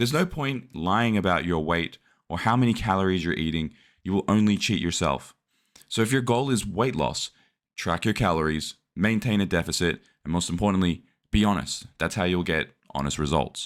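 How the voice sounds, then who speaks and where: A man speaks with an Australian accent, his pitch very deep and low, his intonation lively. The pace is moderate, and the recording is very clean with a silent background. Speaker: fitness vlogger. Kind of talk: vlog narration.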